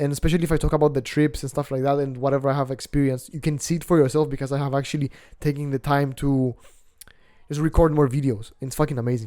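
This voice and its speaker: Very clean and silent behind him, a man with a Greek accent races along at a very fast pace, his fairly high pitch flat and monotone and his tone dark and mellow. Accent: non-native English accent, Greek. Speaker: self-improvement vlogger. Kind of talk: casual vlog monologue. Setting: outdoors on apartment balcony. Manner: casual, filler-heavy, swearing.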